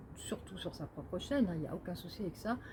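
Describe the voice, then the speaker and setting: A woman speaks with a dark, mellow tone and a somewhat breathy quality. Her intonation is lively. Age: 60s. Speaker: medium and numerologist, author. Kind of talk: casual monologue to camera. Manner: halting, many hesitations.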